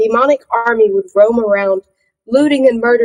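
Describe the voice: Someone reads aloud plainly while the background stays quiet.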